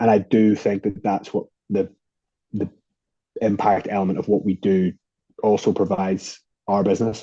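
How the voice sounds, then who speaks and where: In a dark, mellow tone, the speech comes at a moderate pace in a flat monotone with long, frequent pauses. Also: man, fairly low pitch for a man. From Ireland. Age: 20s. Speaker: beer company co-founder. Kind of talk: interview conversation.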